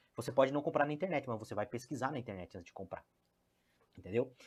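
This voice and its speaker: The voice is somewhat breathy with lively intonation, on a very clean recording with a silent background. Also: man. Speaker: radio host, business consultant. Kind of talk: radio finance talk show. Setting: radio studio. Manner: fast; casual, filler-heavy.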